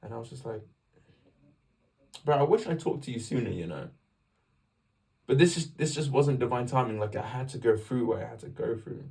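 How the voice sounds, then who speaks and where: Speaking at a medium pitch in a dark, mellow, somewhat breathy tone, a man talks at a fairly quick pace with ordinary pitch variation, big swings in loudness, and long, frequent pauses. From England. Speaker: vlogger sharing faith story. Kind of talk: personal testimony. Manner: casual, animated.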